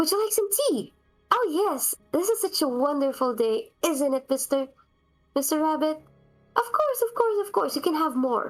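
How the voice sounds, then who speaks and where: A woman uses a shrill, put-on character voice at a moderate pace. Faint music plays in the background. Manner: amiable, excitable.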